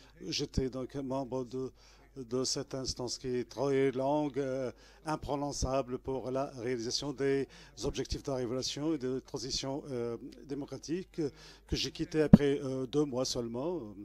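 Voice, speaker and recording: A man of medium pitch with a dark, mellow tone speaks at a fairly slow pace with fairly even intonation. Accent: Arabic. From Tunisia, Gafsa mining basin. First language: Arabic (speaking French). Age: 60s. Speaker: trade unionist and former political prisoner. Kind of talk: testimony. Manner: halting, many hesitations; formal.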